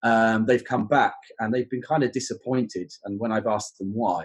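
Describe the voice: A man at a moderate pace, fairly low in pitch, with fairly even intonation and a slightly husky edge.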